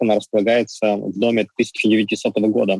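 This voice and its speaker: A man with a fairly low pitch keeps to a moderate pace. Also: dry, close sound with no echo. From Ukraine, Donetsk. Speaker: cafe chain owner. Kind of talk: interview. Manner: hesitant, filler sounds.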